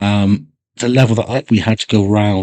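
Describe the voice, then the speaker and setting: Against a quiet background, a man with a West Country accent speaks in a relaxed tone with fairly even intonation and a fairly low pitch. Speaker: gaming YouTuber. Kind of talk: casual commentary. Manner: relaxed, with fillers.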